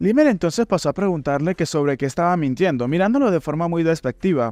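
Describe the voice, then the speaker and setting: The delivery is very fast, with lively intonation. The sound is dry and close with no echo, over a quiet background. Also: man, high pitch for a man. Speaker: manhwa recap narrator. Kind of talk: story narration. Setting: recording late at night.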